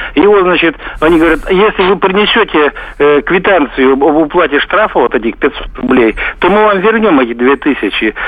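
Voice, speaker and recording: A man's high-pitched voice with lively intonation and very even loudness, moderate in pace, over noticeable background noise. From Russia, Tver. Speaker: radio caller. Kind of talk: phone-in question. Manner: rambling, filler-heavy.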